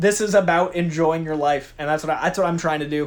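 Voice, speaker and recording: A man with a fairly high pitch talks in an animated tone. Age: 30s. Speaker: youtube host, pop culture commentator. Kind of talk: casual vlog chat. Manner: fast.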